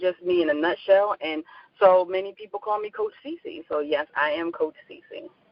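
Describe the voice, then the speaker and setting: The speaker has a Philadelphia accent. The pace is moderate. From US Northeast, Philadelphia. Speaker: life coach. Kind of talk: interview.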